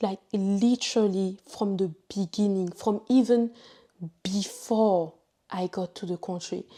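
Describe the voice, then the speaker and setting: In a very clean recording with a silent background, a woman with a French accent speaks in a dark, mellow tone at a medium pitch with fairly even intonation. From Ivory Coast. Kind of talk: testimony. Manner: halting.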